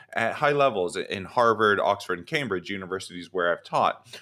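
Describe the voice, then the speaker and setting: A man with an American accent talks at a fairly quick pace. His tone is bright and sharp, with vocal fry. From Texas. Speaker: professor and grad student coach. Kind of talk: live online coaching session. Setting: studio, livestream. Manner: halting, with many fillers and repeats.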